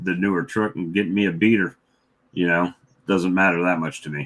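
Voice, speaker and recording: Over a silent background in a very clean recording, a man with a Southern US accent speaks in a bright, sharp tone with ordinary pitch variation. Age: 50s. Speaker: beekeeper. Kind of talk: casual chat. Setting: livestream.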